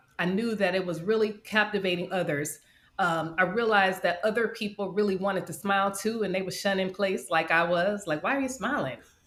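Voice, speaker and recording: Using an ordinary speaking voice, a woman with an American accent talks at a fairly quick pace, her medium pitch moving with ordinary variation. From Detroit, US Midwest. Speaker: life coach and podcaster. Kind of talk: interview testimony.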